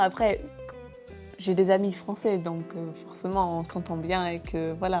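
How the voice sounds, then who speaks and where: With music in the background, a woman speaks very slowly in a medium-pitched voice and a fairly even intonation. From England. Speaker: former university English teacher. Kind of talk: interview answer.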